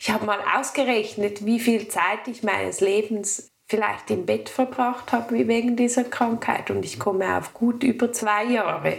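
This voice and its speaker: The speech runs at a fairly slow pace with hardly any pauses. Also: woman, fairly high pitch for a woman. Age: 30s. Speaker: woman with endometriosis sharing her story. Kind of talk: personal interview conversation.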